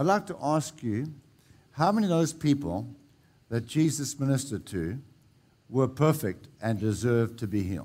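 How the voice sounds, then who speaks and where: A man's plain, everyday voice moves at a moderate pace with lively intonation. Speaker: pastor. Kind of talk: altar-call healing ministry, directing the sick forward and commanding healing. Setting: church service with congregation. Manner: repetitive, urgent exhortation.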